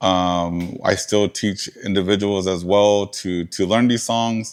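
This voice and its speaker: A man with an American accent, fairly low in pitch, at a very slow pace in a flat monotone, on a very clean recording with a silent background. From southern Arizona, Tohono O'odham Nation. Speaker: museum curator and lecturer. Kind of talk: lecture Q&A. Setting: museum lecture with audience. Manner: halting, many fillers.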